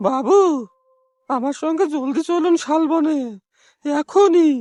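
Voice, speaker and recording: In a put-on character voice pitched extremely high, the man talks fairly slowly. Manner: panicked, urgent.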